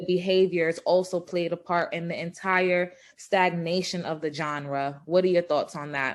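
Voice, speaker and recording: A woman with a New York accent speaks at a fairly low pitch and a moderate pace, with hardly any pauses. Her intonation is monotone and flat, and the recording is very clean with a silent background. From Brooklyn, New York (Flatbush). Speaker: interviewer. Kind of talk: interview.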